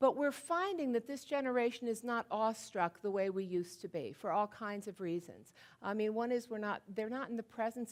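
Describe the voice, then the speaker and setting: A woman's fairly quick, fairly high voice with an American accent and lively intonation. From Washington DC area. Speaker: author and keynote speaker. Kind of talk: keynote speech. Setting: stage with audience. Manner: fast.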